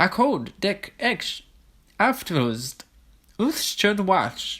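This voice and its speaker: This put-on character voice sits at a middle pitch but makes very wide pitch swings. The pace is very slow. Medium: read story. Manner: nonstop chattering.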